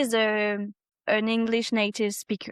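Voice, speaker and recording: In a very clean recording with a silent background and a dry, close sound with no echo, a woman speaks with a French accent. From France. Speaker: specialized teacher. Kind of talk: interview. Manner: halting.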